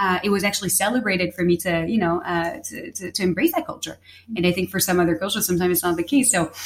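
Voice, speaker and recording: Amid noticeable background noise, a woman speaks at a very fast pace and medium pitch with fairly even intonation and hardly any pauses. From Paris, France. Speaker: guest, chef's daughter. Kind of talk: casual conversation.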